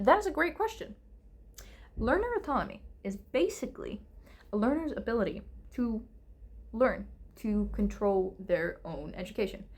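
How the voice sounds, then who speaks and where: A non-native accent at a moderate pace. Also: woman. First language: not English. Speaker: English teacher. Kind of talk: casual lecture answering viewer questions. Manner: hesitant, filler-heavy.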